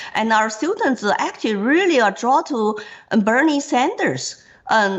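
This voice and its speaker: With a Chinese accent, a woman talks at a high pitch and a fairly slow pace, her intonation lively. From China. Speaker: political candidate. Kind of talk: interview.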